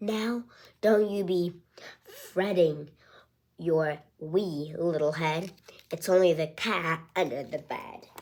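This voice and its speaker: A woman's whispered, put-on character voice, very slow with long, frequent pauses. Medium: read story. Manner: whispering.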